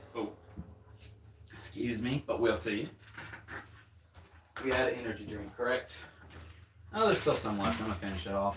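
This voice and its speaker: At a moderate pace, a man with a Southern US accent speaks at a medium pitch with ordinary pitch variation and long, frequent pauses. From US South. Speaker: drummer streamer. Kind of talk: casual livestream chat. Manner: rambling, casual.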